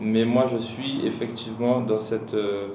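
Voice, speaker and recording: With noticeable background noise and audible room echo, a man talks at a fairly slow pace in a monotone, flat intonation. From Guadeloupe. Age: 30s. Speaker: hiker and mountaineer. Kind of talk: podcast interview. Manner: casual.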